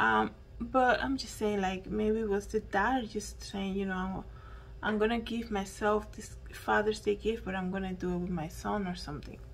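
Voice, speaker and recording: Over light background noise, a woman with a Spanish accent talks at a moderate pace. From Dominican Republic. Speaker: YouTuber and podcaster. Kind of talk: solo news commentary monologue. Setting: at home. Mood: earnest, reflective. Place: home room. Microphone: handheld.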